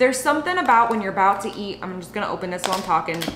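Audible room echo and light background noise accompany a woman's voice. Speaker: food vlogger. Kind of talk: casual vlog chat. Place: kitchen.

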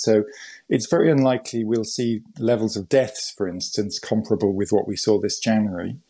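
At a fairly quick pace, a man talks over a quiet background. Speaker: interview guest. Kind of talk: interview answer.

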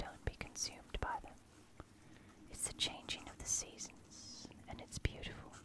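Soft-spoken whispering in a soothing tone. The sound is dry with no echo, over noticeable background noise. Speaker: ASMR host. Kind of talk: soft-spoken comforting talk. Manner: soft soothing ASMR whisper. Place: home room.

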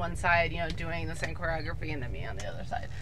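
A woman talks over light background noise. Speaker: vlogger. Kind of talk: casual vlog chat. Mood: upbeat, animated. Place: car. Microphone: phone near.

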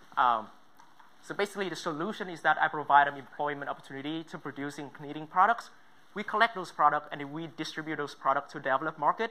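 The speaker has a Vietnamese accent. The pace is very fast. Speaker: student entrepreneur. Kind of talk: pitch presentation. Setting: stage with judges.

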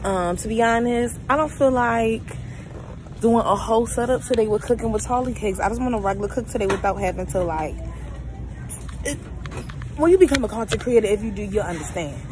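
A woman talks at a fairly quick pace with ordinary pitch variation, her voice dry with no echo over noticeable background noise. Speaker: vlogger. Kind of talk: casual vlog chat. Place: shop. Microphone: phone near.

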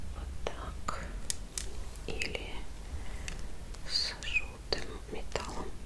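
A woman speaks at a very slow pace with long, frequent pauses. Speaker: ASMR content creator. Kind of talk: ASMR show-and-tell of purchases, whispered.

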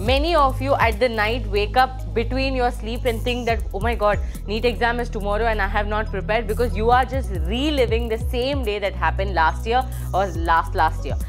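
Clear music plays in the background. A woman speaks over it at a fairly quick pace. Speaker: exam coaching teacher. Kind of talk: motivational talk to students. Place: studio. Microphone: lapel.

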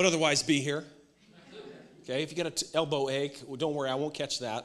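The pace is very fast. The speaker is a man. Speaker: pastor. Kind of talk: sermon. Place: hall. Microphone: handheld.

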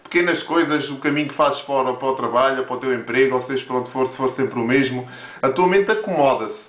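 Audible room echo surrounds a man speaking very fast with a European Portuguese accent. His pitch is fairly high, with ordinary variation. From Portugal. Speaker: motivational video creator. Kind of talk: motivational monologue to camera. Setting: home office with camera on tripod. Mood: warm, encouraging. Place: office. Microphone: webcam.

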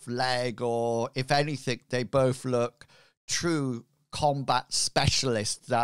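This is an unforced reading voice with fairly even intonation, recorded against a quiet background.

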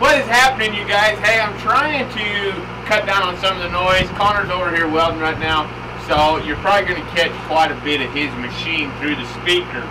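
A man talks with ordinary pitch variation at a moderate pace while noticeable background noise carries on behind him. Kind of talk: tutorial. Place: workshop.

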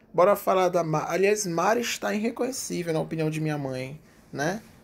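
With lively intonation and a high pitch, a man talks at a moderate pace. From Brazil. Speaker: YouTube TV news commentator; TV gossip commentator. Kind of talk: casual vlog commentary; casual vlog chat. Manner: chatty, filler-heavy. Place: home room. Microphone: webcam.

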